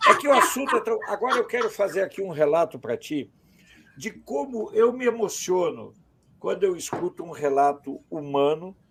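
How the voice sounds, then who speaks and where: A man speaks at a moderate pace, with noticeable background noise present. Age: 60s. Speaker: journalist. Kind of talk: interview.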